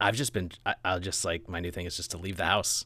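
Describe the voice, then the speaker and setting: A man's very deep, low voice with a bright, sharp tone on a very clean recording with a silent background. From Southern California. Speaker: podcast host. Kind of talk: casual interview chat.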